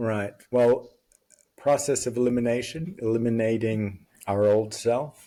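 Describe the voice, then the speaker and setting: A man speaks with a dark, mellow tone. He keeps a fairly slow pace and fairly even intonation. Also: medium pitch for a man. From Las Vegas, US West. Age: 60s. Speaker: podcast guest. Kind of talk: casual chat.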